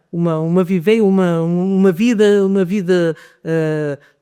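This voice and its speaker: A man with a high pitch speaks in a dark, mellow tone with ordinary pitch variation. The sound is dry and close with no echo, in a very clean recording with a silent background. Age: 70s. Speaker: folk dance group member, local tradition keeper. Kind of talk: podcast interview. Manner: halting, many fillers and repetitions.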